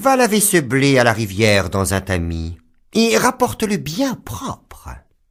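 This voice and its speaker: A man's put-on character voice at a fairly slow pace, in a very clean recording with a silent background. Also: medium pitch for a man. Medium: read story. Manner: harsh, scolding.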